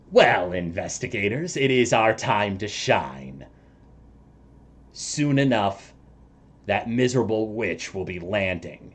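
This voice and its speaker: A man uses a put-on character voice, fairly low in pitch, at a fairly slow pace. He leaves long, frequent pauses. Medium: actual play. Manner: commanding, impatient.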